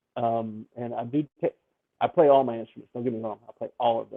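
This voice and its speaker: A man with a Memphis accent speaks at a fairly quick pace. His medium-pitched voice keeps fairly even intonation. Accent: smooth Southern, Memphis. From US South, Memphis, Tennessee. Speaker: ukulele song leader. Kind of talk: podcast interview.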